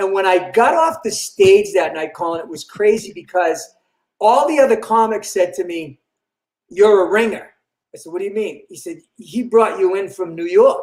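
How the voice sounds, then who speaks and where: A high-pitched man in a Boston accent at a moderate pace, with ordinary pitch variation and big swings in loudness. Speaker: comedian. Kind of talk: interview, casual storytelling.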